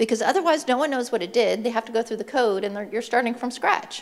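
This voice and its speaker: A woman speaks in a plain, everyday voice. Her pitch is fairly high, with ordinary variation. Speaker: conference speaker. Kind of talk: conference talk.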